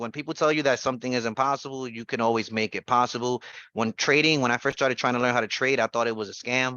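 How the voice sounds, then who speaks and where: A man races along at a very fast pace, his pitch medium and his intonation fairly even. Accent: New York. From New York City (the Bronx). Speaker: trading educator, former real estate investor. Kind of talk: casual personal story on a group call. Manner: halting, many fillers and restarts.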